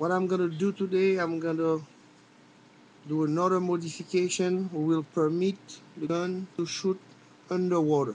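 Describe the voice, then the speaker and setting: A man with a French accent speaks in a high pitch and a flat monotone, leaving long, frequent pauses. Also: moderate pace. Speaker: firearms hobbyist video maker. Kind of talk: tutorial. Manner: halting.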